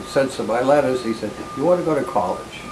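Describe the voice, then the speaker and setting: Amid noticeable background noise and audible room echo, a man with an American accent talks at a medium pitch with ordinary pitch variation. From Boston area, Massachusetts. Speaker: retired law librarian and law professor. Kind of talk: oral history interview. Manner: halting, many fillers.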